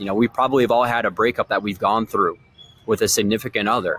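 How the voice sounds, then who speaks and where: Talking at a very fast pace, a man with an American accent sounds energetic. The sound is dry and close with no echo, on a very clean recording with a silent background. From Michigan. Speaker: sales coach and podcast host. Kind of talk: motivational monologue. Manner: casual and energetic.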